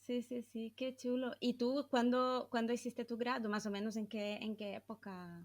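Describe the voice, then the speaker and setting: This woman speaks with a Brazilian accent in a fairly high pitch, at a fairly slow pace. Her intonation stays fairly even, and she hardly pauses. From southern Brazil. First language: Portuguese (speaking Spanish). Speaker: podcast host, psychologist. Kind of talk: casual interview chat.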